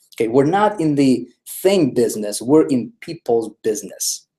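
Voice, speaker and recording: This voice has a non-native accent and a dark, mellow tone. The pitch swings are very wide. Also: man. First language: not English. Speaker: online marketing trainer. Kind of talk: live webinar presentation. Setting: live video stream. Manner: repetitive, emphatic.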